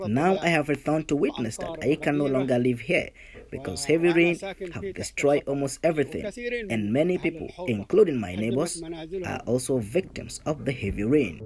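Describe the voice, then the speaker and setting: Lively intonation and vocal fry at a moderate pace. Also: man, fairly high pitch for a man. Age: 70s. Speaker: displaced farmer. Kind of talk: testimony.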